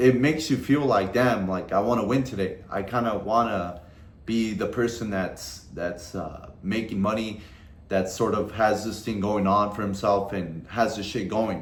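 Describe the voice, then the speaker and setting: Heard with audible room echo, a man with a fairly low pitch speaks fairly slowly with ordinary pitch variation. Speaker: trading content creator. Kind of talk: casual vlog advice monologue. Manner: casual, heavy swearing slang.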